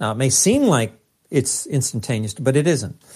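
On a very clean recording with a silent background, a man talks at a moderate pace in a somewhat breathy voice. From US West, East Los Angeles, Mexican-American. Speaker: physicist and author. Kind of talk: interview. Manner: animated.

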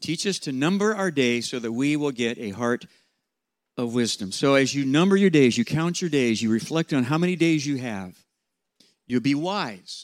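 On a very clean recording with a silent background, a man with a normal speaking voice talks at a fairly high pitch with lively intonation. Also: moderate pace. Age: 60s. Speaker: pastor and leadership coach. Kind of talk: seminar talk to students.

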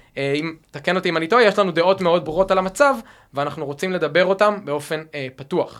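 Speaking very fast, a man uses a high voice whose pitch varies in an ordinary way. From Israel, Rehovot (central Israel). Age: 30s. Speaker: civic dialogue initiative founder. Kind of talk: conversational dialogue.

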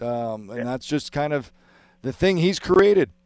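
A man's unremarkable speaking voice at a fairly high pitch and a moderate pace, on a very clean recording with a silent background. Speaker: hockey analyst, former player. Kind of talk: sports radio talk. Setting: studio.

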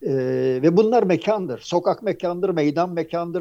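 A man with a high, dark and mellow voice speaks at a fairly slow pace with lively intonation. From Izmir, Turkey. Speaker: architect and author. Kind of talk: casual chat. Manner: halting.

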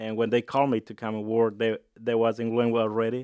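A man's medium-pitched voice holds a monotone, flat intonation. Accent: Mexican. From Jalisco, Mexico. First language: Spanish. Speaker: restaurant owner. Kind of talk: interview. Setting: studio.

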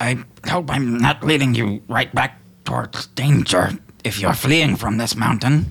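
A man puts on a raspy character voice at a medium pitch. He talks at a moderate pace. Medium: actual play. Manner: earnest, slightly formal.

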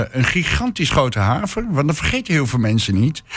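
Some breathiness runs through this voice. Its pace is fairly slow. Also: man. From Hengelo, Twente. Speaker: social entrepreneur. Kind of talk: radio panel discussion. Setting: studio. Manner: halting, many fillers.

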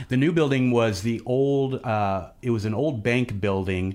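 This man talks at a fairly slow pace with a Midwestern American accent and a fairly low pitch. His intonation is lively. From central Missouri, US Midwest. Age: 40s. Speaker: radio station executive director. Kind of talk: casual radio interview. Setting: radio studio.

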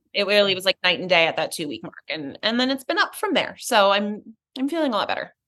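This woman talks at a very fast pace in a bright, sharp tone, her medium pitch making very wide swings. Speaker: breast cancer survivor and ceramic artist. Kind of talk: casual interview chat.

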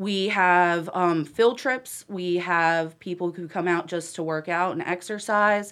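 In a very clean recording with a silent background, a woman speaks with an American accent. She has a plain, everyday voice, medium pitch and ordinary pitch variation. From Huntersville, North Carolina. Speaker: town commissioner and nonprofit director. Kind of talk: casual chat.

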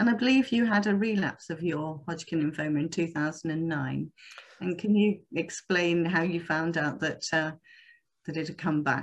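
A woman's unremarkable speaking voice, fairly low in pitch, at a moderate pace over a quiet background. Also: ordinary pitch variation. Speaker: interviewer for a charity. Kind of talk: interview questions.

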